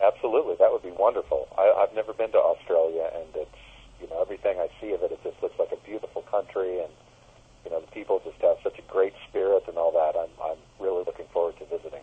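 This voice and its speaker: A man with an American accent talks at a very fast pace, his loudness swinging widely. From United States. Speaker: musician, keyboardist. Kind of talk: phone interview.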